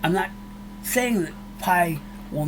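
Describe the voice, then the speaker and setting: Over noticeable background noise and audible room echo, a man with a high pitch speaks very slowly with lively intonation. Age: 60s. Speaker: YouTuber, cryptocurrency commentator. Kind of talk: casual monologue to viewers. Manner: emotional, fired up; halting, many restarts.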